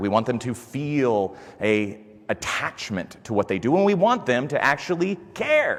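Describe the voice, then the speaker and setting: A man speaks loudly at a moderate pace and a medium pitch, over noticeable background noise. His tone is animated, with very wide pitch swings. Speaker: conference speaker. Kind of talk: conference talk. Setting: stage with audience.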